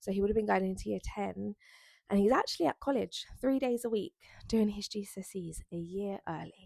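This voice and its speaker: A woman speaks at a fairly quick pace with a South East London accent. The sound is dry and close, with no echo. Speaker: lifestyle vlogger. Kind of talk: casual chat to camera. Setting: bedroom at home.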